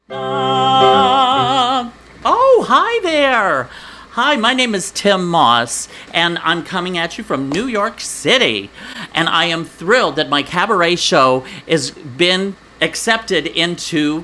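Music plays behind a man. He talks at a very slow pace, his pitch swinging very widely. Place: home room.

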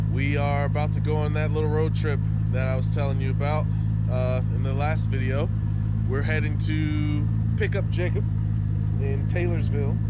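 Loud background noise surrounds a man speaking with long, frequent pauses, in a dry sound with no echo. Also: moderate pace. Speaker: vlogger host. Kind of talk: casual vlog chat. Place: street. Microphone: phone near.

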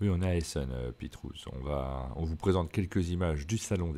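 On a very clean recording with a silent background, a man with a very deep, low pitch and a dark, mellow tone speaks with lively intonation. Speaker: board game podcast host. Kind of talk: casual chat. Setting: trade fair, travel setup.

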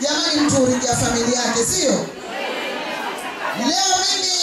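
Music plays in the background as a woman talks at a moderate pace with audible room echo. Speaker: bridal instructor at kitchen party. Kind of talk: speech to audience. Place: hall.

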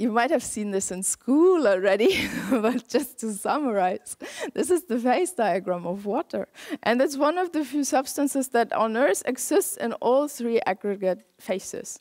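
Over a quiet background, a woman talks at a moderate pace with a high pitch. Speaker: lecturer. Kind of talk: lecture. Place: hall. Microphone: headset.

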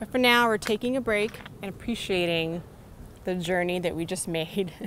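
The woman talks at a fairly quick pace with ordinary pitch variation, the sound dry with no echo and light background noise. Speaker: travel vlogger. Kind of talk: casual vlog chat. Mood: cheerful, laughing. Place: street. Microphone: phone near.

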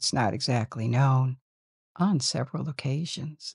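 With a very deep, low pitch, a woman speaks at a fairly slow pace in a soothing, gentle, somewhat breathy tone with lively intonation. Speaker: sleep-story narrator. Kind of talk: bedtime story telling. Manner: slow, soothing; gentle, hushed, measured.

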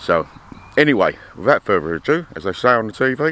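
The voice makes very wide pitch swings. The sound is dry, with no echo, over light background noise. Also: man. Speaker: vlogger landowner. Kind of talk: casual vlog chat. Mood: slightly aggrieved then upbeat. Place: open country. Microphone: phone near.

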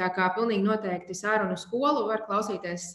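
A woman talks with fairly even intonation. There is audible room echo against a quiet background. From Latvia. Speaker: webinar moderator. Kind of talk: event introduction; webinar introduction. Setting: video call webinar. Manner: hesitant, many fillers. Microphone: webcam.

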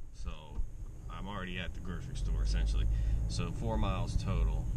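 Loud background noise fills the recording. Over it, a man talks. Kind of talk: casual vlog chat. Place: car. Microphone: phone near.

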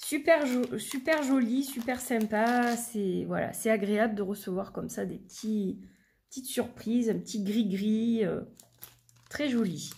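Very slowly, a woman speaks in a somewhat breathy, fairly high voice with ordinary pitch variation. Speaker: tarot and oracle card reader, YouTuber. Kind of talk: product review, unboxing. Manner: chatty, with frequent fillers.

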